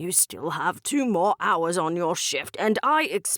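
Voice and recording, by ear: The voice reads aloud naturally. Its intonation moves in a lively way.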